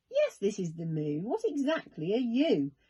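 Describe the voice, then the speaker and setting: Put-on character voice from a woman, fairly high in pitch, at a moderate pace. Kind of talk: bedtime story. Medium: read story. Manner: friendly, jolly.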